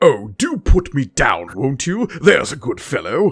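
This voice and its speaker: A man puts on a character voice in a British accent, pitched high and delivered at a moderate pace. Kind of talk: polite, posh. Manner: gentle, pleading.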